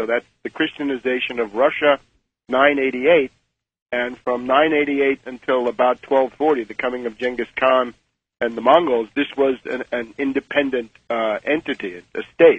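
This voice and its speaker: Using a normal speaking voice, this man talks at a moderate speed. His pitch sits in the middle range, and his intonation stays fairly even. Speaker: author, political commentator. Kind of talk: radio interview answer.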